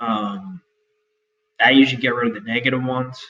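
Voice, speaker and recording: A man speaks with an American accent at a moderate pace. His pitch sits in the middle range. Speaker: online store owner and YouTuber. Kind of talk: tutorial. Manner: halting, many fillers.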